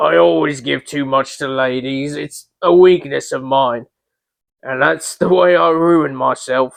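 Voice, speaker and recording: Using a put-on character voice, a man speaks fairly slowly at a medium pitch with lively intonation. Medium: read story. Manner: haggling, grudging.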